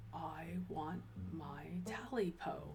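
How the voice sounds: Someone does a put-on character voice at a middle pitch against loud background noise.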